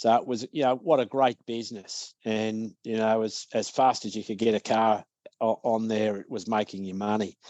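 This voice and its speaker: Through a dry, close sound with no echo, a man with an Australian accent speaks at a moderate pace in a medium-pitched, dark, mellow tone. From Australia (Victoria). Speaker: business owner, author and speaker. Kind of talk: podcast interview. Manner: hesitant, many fillers.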